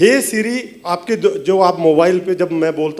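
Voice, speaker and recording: Through noticeable background noise, a man with a Punjabi accent speaks with lively intonation. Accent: Punjabi-tinged Hindi. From Punjab, India. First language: Punjabi (speaking Hindi). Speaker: film writer-director. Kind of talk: stage speech at film music launch.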